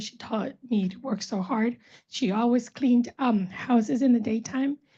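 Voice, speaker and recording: With a dark, mellow tone and a somewhat breathy quality, a woman speaks at a moderate pace, her fairly high pitch held to fairly even intonation. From Los Angeles, born in El Salvador. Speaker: panelist. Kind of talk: personal testimony. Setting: panel event with audience.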